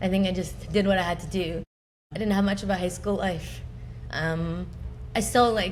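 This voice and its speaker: At a moderate pace, a woman with a Canadian accent speaks with long, frequent pauses in audible room echo. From Punjab, India, then suburban Canada. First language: Punjabi. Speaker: podcast host interviewed as guest. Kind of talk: interview testimony. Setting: live recording with audience.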